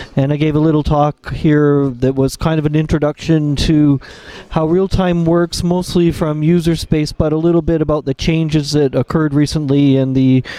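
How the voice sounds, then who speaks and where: A fairly high-pitched man at a moderate pace, with monotone, flat intonation, very even loudness, and dry, close sound with no echo over noticeable background noise. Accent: Canadian. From Canada. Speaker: kernel developer. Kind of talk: interview. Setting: conference lounge.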